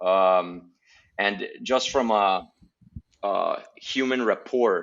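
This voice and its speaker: A man talks with a Spanish accent. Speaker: guest. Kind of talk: casual chat. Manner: hesitant, many fillers and repeats.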